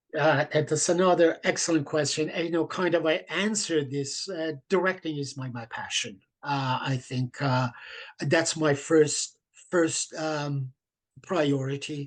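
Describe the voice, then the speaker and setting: A man with a non-native accent speaks at a fairly slow pace in a fairly high pitch. His pitch variation is ordinary, and the background is quiet. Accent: foreign accent in English. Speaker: theatre director. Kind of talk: interview. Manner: halting, many fillers.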